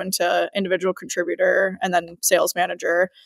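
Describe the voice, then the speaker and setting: A woman's voice at a medium pitch and a fairly quick pace, with a slight Chicago accent and a dry, close sound with no echo. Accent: slight Chicago accent on certain words. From US Midwest, Chicago. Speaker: sales manager. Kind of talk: podcast interview.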